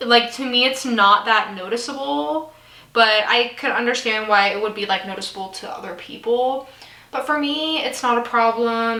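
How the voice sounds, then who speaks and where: A woman with a fairly high voice speaks at a moderate pace, her intonation lively. Audible room echo and noticeable background noise surround her. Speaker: beauty vlogger. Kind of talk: casual get-ready-with-me vlog. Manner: chatty.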